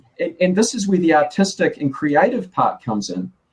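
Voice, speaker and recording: Speaking at a moderate pace in a New Zealand accent, a high-pitched man lets his pitch swing very widely. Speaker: graphic designer. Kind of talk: casual chat. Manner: halting, many repeated words.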